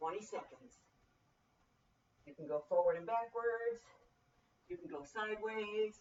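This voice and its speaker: In an upbeat tone, a woman speaks at a moderate pace with a medium pitch and ordinary pitch variation. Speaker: personal trainer. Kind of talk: fitness class instruction. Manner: speaking loudly; encouraging, upbeat.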